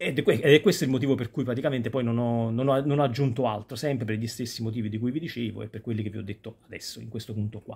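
Talking at a very fast pace, a man sounds somewhat breathy, with ordinary pitch variation. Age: 40s. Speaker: YouTuber; youtuber. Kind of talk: casual vlog monologue. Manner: halting. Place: home room. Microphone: phone near.

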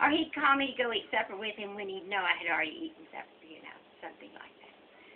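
A woman with an American accent talks at a very fast pace, her fairly high pitch swinging very widely and her loudness swinging a lot. Light background noise is present. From Texas. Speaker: great-grandmother. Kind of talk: casual storytelling. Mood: warm, amused nostalgia. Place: kitchen. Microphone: phone near.

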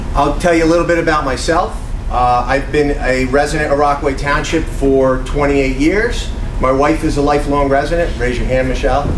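A man with a fairly high voice speaks in a fairly even tone over noticeable background noise. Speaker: town mayor running for re-election. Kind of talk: campaign speech. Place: hall. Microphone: camera far.

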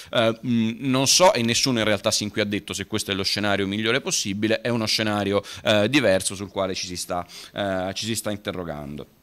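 Speaking with a fairly low pitch, a man shows ordinary pitch variation. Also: fairly quick pace. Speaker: lawyer. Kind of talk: panel talk; conference talk. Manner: brisk, concise. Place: hall. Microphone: podium.

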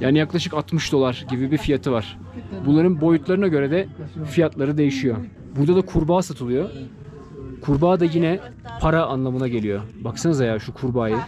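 Over faint background music, a man talks at a fairly quick pace with ordinary pitch variation and long, frequent pauses. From Turkey. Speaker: travel vlogger. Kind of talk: travel vlog narration. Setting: outdoors. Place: shop. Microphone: phone near.

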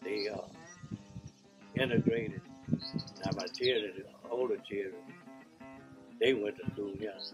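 A man speaking fairly slowly with long, frequent pauses and ordinary pitch variation, with clear music in the background. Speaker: elderly relative interviewee. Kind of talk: interview answer. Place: home room.

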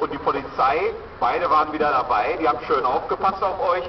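The speech moves at a moderate pace. Noticeable background noise runs underneath. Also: man. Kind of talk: public welcome speech. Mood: warm, cheerful. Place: market.

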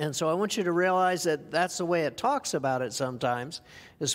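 Here is a man with a normal speaking voice. His pitch is fairly high and his intonation lively. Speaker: preacher. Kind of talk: sermon. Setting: church. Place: church.

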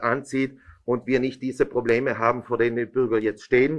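A man at a moderate pace, with a quiet background. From Italy. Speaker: regional politician. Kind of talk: press conference statement. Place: meeting room. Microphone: podium.

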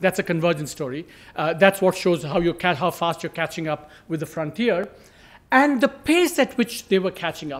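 A man's high-pitched voice at a moderate pace, with lively intonation. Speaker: economist; speaker. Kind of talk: presentation. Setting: conference panel with audience. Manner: animated. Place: hall. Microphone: podium.

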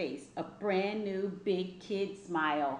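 A woman's medium-pitched voice at a slow pace, with audible room echo

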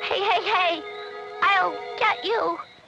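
Over clear music, a woman uses a put-on character voice pitched extremely high. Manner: cackling.

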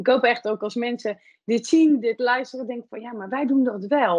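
With a quiet background, a woman in a plain, everyday voice speaks at a moderate pace, her pitch fairly high and her intonation fairly even. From France. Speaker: podcast host. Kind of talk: interview conversation. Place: office. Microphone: video call.

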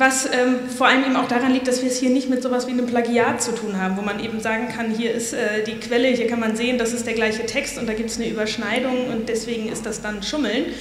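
Fast speech from a woman at fairly high pitch, with few pauses and little pitch movement, plus clear background noise and audible room echo

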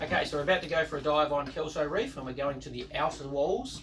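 A man's voice with ordinary pitch variation amid noticeable background noise. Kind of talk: casual vlog explanation. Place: boat. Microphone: camera far.

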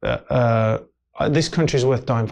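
In an English Midlands accent, a man talks at a moderate pace. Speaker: actor and filmmaker. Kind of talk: casual interview chat. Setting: studio. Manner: animated. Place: studio. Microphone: lapel.

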